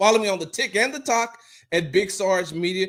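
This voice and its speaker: A loud, animated man with an American accent at a moderate pace. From Texas. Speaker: sports podcast host. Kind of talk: casual sports talk show. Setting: home, wife sleeping in other room.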